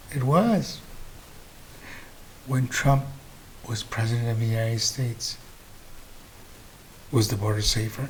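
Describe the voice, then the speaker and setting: Here a man speaks in a medium pitch, somewhat breathy. His pace is fairly slow, with long, frequent pauses. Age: 60s. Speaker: political commentary host. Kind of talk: political commentary monologue. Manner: animated.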